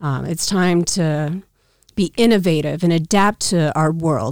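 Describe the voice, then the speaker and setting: A woman with an American accent has an ordinary speaking voice. She talks at a fairly slow pace with ordinary pitch variation. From Council Bluffs / Omaha, US Midwest. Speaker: entrepreneur, gift business owner. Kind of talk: casual interview chat.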